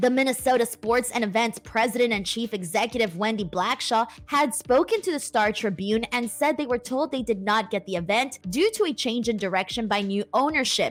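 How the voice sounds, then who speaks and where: An ordinary speaking voice from a woman, fairly high in pitch with ordinary pitch variation, at a fairly quick pace with hardly any pauses. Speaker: wrestling news host. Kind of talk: news read.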